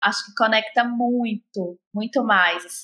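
Bright, sharp tone in a Minas Gerais accent at a fairly slow pace. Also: woman. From Brazil, Minas Gerais. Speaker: podcast host. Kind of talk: interview.

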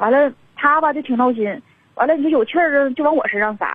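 A woman's high voice, very fast and full of lively intonation. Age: 40s. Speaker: radio call-in listener seeking advice. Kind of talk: call-in confession to a radio host. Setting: phone call.

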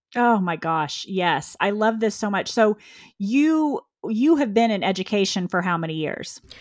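A woman's medium-pitched voice with lively intonation at a moderate pace, on a very clean recording with a silent background. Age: 50s. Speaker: podcast host, leadership coach and former school administrator. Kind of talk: casual interview chat.

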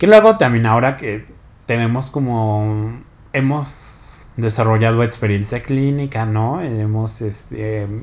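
A man with a plain, everyday voice speaks at medium pitch with fairly even intonation. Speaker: podcast co-host. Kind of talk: casual chat.

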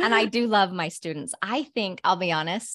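A woman with an American accent talks at a fairly slow pace with ordinary pitch variation, the sound dry and close with no echo on a very clean recording with a silent background. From northern Utah, Cache Valley. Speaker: university professor and podcaster. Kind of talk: casual interview.

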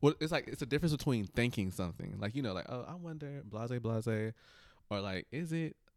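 Using a plain, everyday voice, a man speaks at a fairly quick pace with a medium pitch and lively intonation. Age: 20s. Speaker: podcast co-host. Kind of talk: casual chat.

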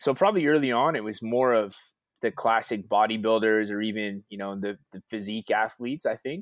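On a very clean recording with a silent background, a man at medium pitch talks at a fairly quick pace with ordinary pitch variation and big swings in loudness, dry and close with no echo. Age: 30s. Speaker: fitness coach. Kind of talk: interview. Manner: halting, many repetitions.

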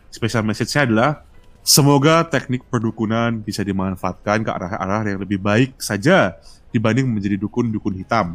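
A man speaks fairly quickly with ordinary pitch variation as background music plays. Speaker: podcast guest. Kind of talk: casual chat.

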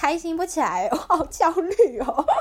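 A woman speaks at an extremely high pitch with lively intonation. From Taiwan. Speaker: student preparing for exchange, podcast co-host. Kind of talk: scripted narration; casual chat.

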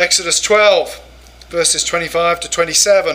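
In an English accent, a man projects a raised voice with fairly even intonation over noticeable background noise. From England. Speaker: professor and pastor. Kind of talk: lecture. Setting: church conference with audience.

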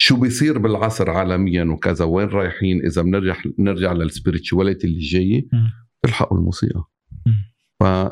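With ordinary pitch variation, the man talks in a very deep, low register. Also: moderate pace. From Lebanon. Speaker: composer and singer. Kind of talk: casual chat.

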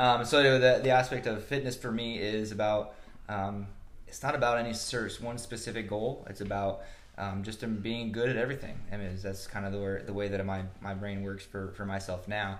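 With a US Midwestern accent, a man speaks at a moderate pace in a fairly low pitch with fairly even intonation, and audible room echo fills the recording. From Nebraska (Omaha area). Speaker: strength coach. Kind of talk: interview.

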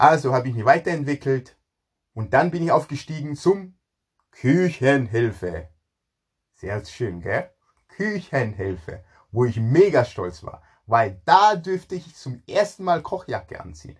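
Somewhat breathy, a man talks at a fairly slow pace with very wide pitch swings and long, frequent pauses over a quiet background. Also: fairly high pitch for a man. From Ghana. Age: 40s. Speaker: chef. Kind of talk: personal life story monologue. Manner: halting, repeats words.

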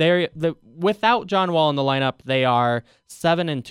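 A man's moderately paced speech comes through in a dry, close sound with no echo. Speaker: sports radio host and beat writer. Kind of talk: casual sports talk radio. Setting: radio studio.

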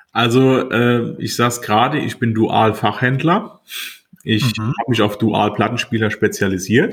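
A man with an ordinary speaking voice, medium in pitch, at a fairly slow pace with fairly even intonation. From Rhineland-Palatinate, Westerwald (Montabaur). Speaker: radio and hi-fi repair technician, shop owner. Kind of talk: casual chat.

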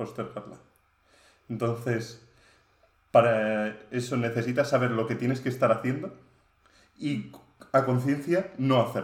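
Pausing long and often, a man talks at a fairly slow pace in a somewhat breathy voice. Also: medium pitch for a man, fairly even intonation. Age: 20s. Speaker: software engineering student and data engineer. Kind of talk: casual chat.

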